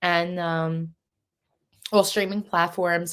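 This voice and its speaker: Speaking in a Philadelphia accent, a woman keeps her intonation monotone and flat. The recording is very clean, the background silent. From US, Philadelphia (South Philly). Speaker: singer and podcast host. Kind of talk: interview. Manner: casual, many fillers.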